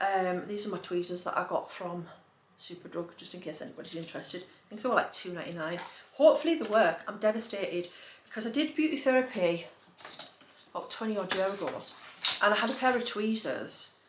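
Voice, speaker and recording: A woman talks at a very fast pace with lively intonation and big swings in loudness. Noticeable background noise and audible room echo are present. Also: medium pitch for a woman. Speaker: lifestyle vlogger. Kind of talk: casual haul chat. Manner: chatty, animated.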